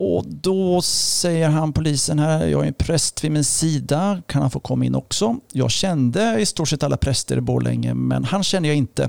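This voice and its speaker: Over noticeable background noise, a man speaks at a moderate pace with hardly any pauses and very even loudness, in a dry, close sound with no echo. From Östergötland, Sweden. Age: 50s. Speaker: pastor. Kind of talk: testimony.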